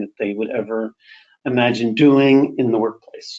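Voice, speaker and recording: Here a man speaks at a medium pitch and a moderate pace. His delivery is monotone, with flat intonation. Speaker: webinar presenter on LGBTQ workplace inclusion. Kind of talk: webinar presentation. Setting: online webinar.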